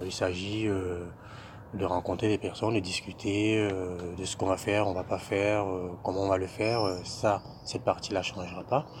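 At a moderate pace, a man with a fairly low pitch talks with a monotone, flat intonation. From Cameroon. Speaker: SAP budget applications consultant. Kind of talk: interview. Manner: hesitant, many fillers.

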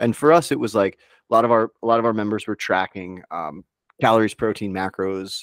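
An unremarkable speaking voice: a man with a fairly low pitch, ordinary pitch variation and a moderate pace. The recording is very clean with a silent background, and the sound is dry and close with no echo. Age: 40s. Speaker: nutrition coach and stay-at-home dad. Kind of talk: casual chat.

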